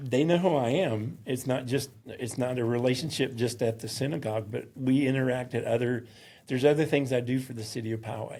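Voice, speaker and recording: Speaking at a fairly quick pace with a Southern accent, a man has a medium-pitched, somewhat breathy voice with a dark, mellow tone. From US South, mountains of North Carolina. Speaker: synagogue security volunteer. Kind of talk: interview. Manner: halting.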